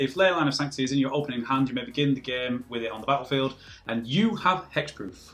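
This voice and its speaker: Over noticeable background noise, a man with a British accent talks at a very fast pace. His pitch is fairly high, with ordinary pitch variation. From Britain. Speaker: podcast co-host. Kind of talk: casual chat.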